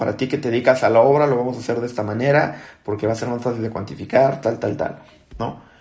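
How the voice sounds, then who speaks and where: Pitched at a medium level, a man's dark, mellow tone holds fairly even intonation. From Mexico, Acapulco (Guerrero coast). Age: 20s. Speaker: architect and software technical support lead. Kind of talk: interview podcast conversation. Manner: hesitant, many fillers and repetitions.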